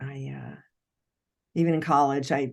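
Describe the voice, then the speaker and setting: This clip features a woman's voice. Its pitch rises and falls in an ordinary way. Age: 60s. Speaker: actress and narrator. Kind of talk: casual chat.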